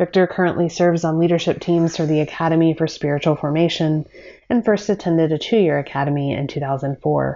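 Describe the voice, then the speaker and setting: Using an ordinary speaking voice, a woman with a fairly low pitch talks at a fairly quick pace with fairly even intonation. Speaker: podcast host. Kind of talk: interview conversation. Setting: video call.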